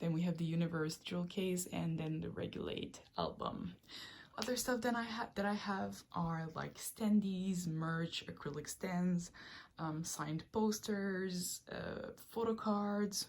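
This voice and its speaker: At a fairly slow pace, a woman with a Quebec accent speaks in a fairly low, somewhat breathy voice. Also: ordinary pitch variation. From Quebec, Canada. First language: French. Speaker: K-pop collector, video creator. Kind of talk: collection tour video. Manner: casual, hesitant with frequent ums.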